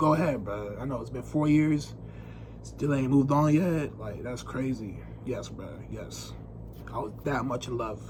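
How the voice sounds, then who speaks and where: Audible room echo surrounds a man whose voice has big swings in loudness. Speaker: vlogger. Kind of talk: casual monologue to camera. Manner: fast; unscripted, halting.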